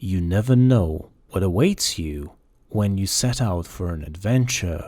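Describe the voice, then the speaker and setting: A man puts on a character voice, fairly low in pitch. He speaks fairly slowly in a very clean recording with a silent background. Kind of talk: grave storytelling. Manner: solemn, wise.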